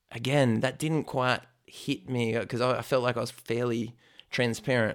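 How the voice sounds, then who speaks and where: A man with an Australian accent talks at a moderate pace and medium pitch, his intonation monotone and flat. The recording is very clean, with a silent background. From Australia, Blue Mountains west of Sydney. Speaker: church planter and spiritual mentor. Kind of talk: interview.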